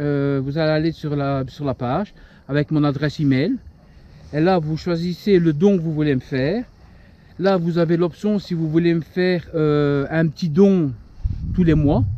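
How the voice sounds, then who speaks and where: A man talks at a fairly slow pace with long, frequent pauses, his pitch fairly high and its variation ordinary. The sound is dry with no echo. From Belgium. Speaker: paranormal urbex YouTuber. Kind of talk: casual channel update vlog. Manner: hesitant, many fillers. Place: open country. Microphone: lapel.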